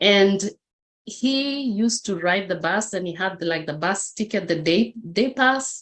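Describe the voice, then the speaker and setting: A woman speaks at a fairly slow pace. She has a Kenyan accent. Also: medium pitch for a woman, ordinary pitch variation. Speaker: motivational speaker. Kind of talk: interview testimony.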